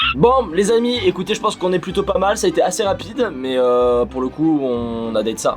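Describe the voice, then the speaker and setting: A man with lively intonation against noticeable background noise. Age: 20s. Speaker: YouTuber doing amateur dubbing. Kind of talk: casual vlog commentary.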